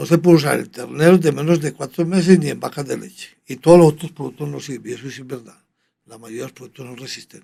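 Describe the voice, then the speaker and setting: A man with a fairly high pitch and a dark, mellow tone talks at a very fast pace. His loudness swings a lot, while his pitch varies in an ordinary way. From Colombia, Medellín (Antioquia). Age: 80s+. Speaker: veterinary surgeon. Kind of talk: interview conversation.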